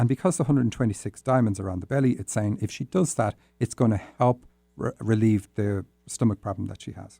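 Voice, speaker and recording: A man with an Irish accent talks at a fairly quick pace in a fairly low voice of dark, mellow tone with ordinary pitch variation. The sound is dry and close, with no echo. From Ireland. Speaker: dream interpretation podcast host. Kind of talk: solo podcast, reading and interpreting listener dreams. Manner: tends to talk fast; hesitant, many fillers.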